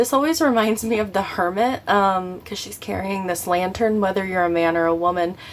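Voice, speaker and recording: A woman speaks at a medium pitch with ordinary pitch variation, in an ordinary speaking voice. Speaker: tarot reader. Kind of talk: tarot reading. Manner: casual, filler-heavy.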